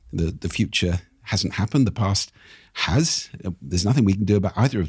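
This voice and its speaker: With a fairly low, somewhat breathy voice, a man speaks with lively intonation in a dry, close sound that has no echo. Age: 60s. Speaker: speaking expert and author. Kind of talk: podcast interview.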